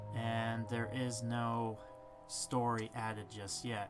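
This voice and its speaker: Background music accompanies the recording. The speaker is a man with a medium-pitched voice. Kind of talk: casual gameplay commentary.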